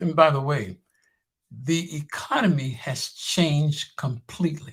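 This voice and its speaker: A somewhat breathy man with a fairly high pitch talks fairly slowly, his pitch varying an ordinary amount. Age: 70s. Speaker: wealth creation teacher and minister. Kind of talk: promotional talk show discussion. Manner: emphatic, preacher-like.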